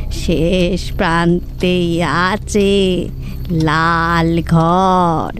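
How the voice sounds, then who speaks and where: A woman performs a put-on character voice. Clear background noise is present. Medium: audio drama.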